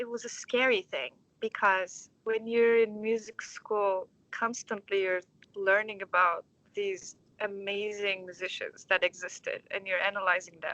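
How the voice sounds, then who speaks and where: With a Turkish accent, a woman speaks at medium pitch in a bright, sharp tone, with ordinary pitch variation, a fairly slow pace, and a dry, close sound with no echo. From Turkey, Istanbul. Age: 20s. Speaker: orchestra conductor. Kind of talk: interview. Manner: halting.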